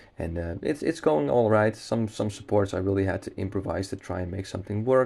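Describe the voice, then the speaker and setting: With a Dutch accent, a man talks at a very fast pace with hardly any pauses, his fairly low voice dark and mellow in tone against a quiet background. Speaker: gaming YouTuber. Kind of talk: gameplay commentary. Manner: casual, with many fillers.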